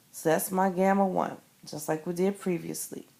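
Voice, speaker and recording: A woman with an unremarkable speaking voice talks at a moderate pace with a medium pitch. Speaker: math teacher. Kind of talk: tutorial. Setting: screencast recorded on an iPad.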